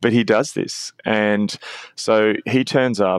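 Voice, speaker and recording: A man in an Australian accent talks at a fairly low pitch, with a dry, close sound with no echo. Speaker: author and pastor. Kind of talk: podcast interview.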